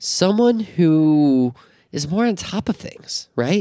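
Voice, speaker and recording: An animated tone at a fairly slow pace. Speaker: podcast co-host. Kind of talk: casual chat.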